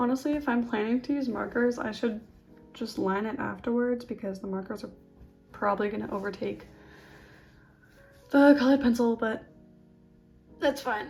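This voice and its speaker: Soft-spoken and fairly high-pitched, a woman talks at a moderate pace with fairly even intonation and long, frequent pauses. Music plays in the background. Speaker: art youtuber. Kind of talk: casual chat while drawing. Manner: hesitant.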